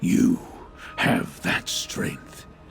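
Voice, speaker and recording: Speaking very slowly in a put-on character voice, a man is heard over clear background noise. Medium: video game. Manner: measured, solemn.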